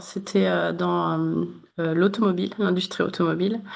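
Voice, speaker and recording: This is a woman speaking. Her pace is moderate. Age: 30s. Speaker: human resources manager. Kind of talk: interview. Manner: many hesitations (euh).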